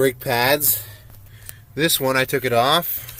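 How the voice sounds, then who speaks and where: Speaking very slowly, a man uses a bright, sharp tone and fairly even intonation. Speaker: car vlogger. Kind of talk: casual vlog. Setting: outdoors.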